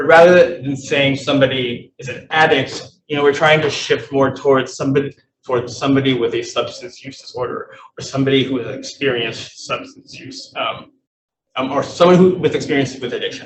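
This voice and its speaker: Somewhat breathy, a man with a fairly high pitch talks at a fairly quick pace, his intonation fairly even and his loudness swinging widely. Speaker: public health presenter. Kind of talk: presentation at a meeting.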